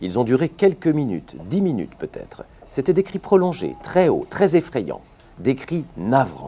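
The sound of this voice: With a dark, mellow tone, a man talks at a moderate pace.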